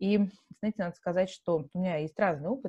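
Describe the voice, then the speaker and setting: This speaker is a woman with a fairly low voice. There is a somewhat breathy quality to it. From Russia, Yekaterinburg (Urals). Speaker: marketing executive, entrepreneur. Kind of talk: interview.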